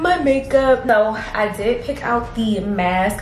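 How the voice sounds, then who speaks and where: A woman talks while background noise is clearly heard. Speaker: beauty vlogger. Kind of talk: casual vlog chat. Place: home room. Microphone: phone near.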